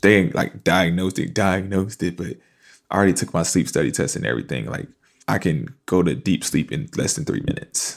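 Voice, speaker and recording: Speaking at a fairly quick pace, a man uses a very deep, low pitch with very wide pitch swings and vocal fry. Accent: American. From US South, Fayetteville, North Carolina. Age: 20s. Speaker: army reservist and student. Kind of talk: casual interview. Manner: calm, relaxed.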